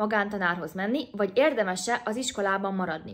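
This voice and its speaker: A woman at a very fast pace, ordinary pitch variation, quiet background. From Hungary. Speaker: YouTuber. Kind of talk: vlog-style advice talk. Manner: casual, chatty. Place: home room. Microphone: phone near.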